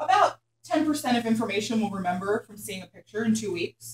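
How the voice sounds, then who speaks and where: A woman with an American accent, somewhat breathy and at medium pitch, with an energetic tone, ordinary pitch variation and a fairly quick pace. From Philadelphia. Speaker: hair colour educator. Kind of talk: workshop lecture. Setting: classroom with live audience. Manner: fast.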